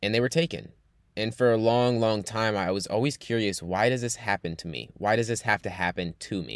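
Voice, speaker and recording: With an American accent, a man uses an ordinary speaking voice at a fairly low pitch, talking at a fairly quick pace with ordinary pitch variation on a very clean recording with a silent background. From New York. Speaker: podcast host and coach. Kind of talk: personal monologue.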